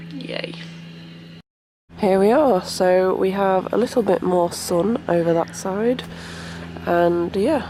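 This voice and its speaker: At a very slow pace with long, frequent pauses, a woman with a British accent speaks at a medium pitch with ordinary pitch variation. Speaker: vlogger. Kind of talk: travel vlog.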